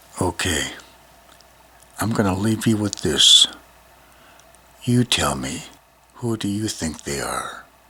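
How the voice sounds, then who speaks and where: A man at a very slow pace, fairly low in pitch, with lively intonation, long, frequent pauses and noticeable background noise. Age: 70s. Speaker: vlogger. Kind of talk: casual monologue to camera.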